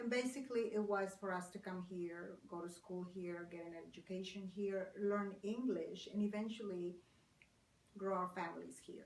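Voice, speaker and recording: A woman at a moderate pace in a Spanish accent, medium in pitch, with fairly even intonation and audible room echo. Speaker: court interpreter. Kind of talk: interview.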